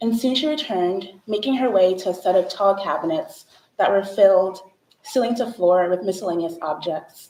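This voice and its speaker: Moderate pace with ordinary pitch variation. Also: woman. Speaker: artist and researcher presenting at a symposium. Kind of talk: conference talk, prepared presentation.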